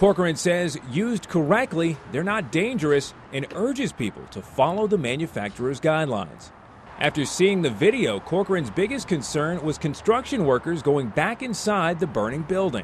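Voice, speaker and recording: This man's voice is high-pitched. It rises and falls very widely. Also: moderate pace. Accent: American. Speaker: TV news reporter and anchor. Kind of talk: TV news package narration.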